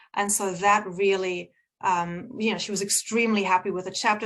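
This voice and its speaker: With an American accent, a woman talks at a moderate pace in a medium pitch with fairly even intonation. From Germany. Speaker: book publisher and speaker. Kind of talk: motivational talk.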